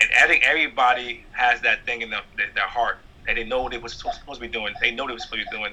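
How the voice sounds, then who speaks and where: A man speaks very fast with a New York accent. Noticeable background noise sits behind him. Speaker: stand-up comedian. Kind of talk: interview.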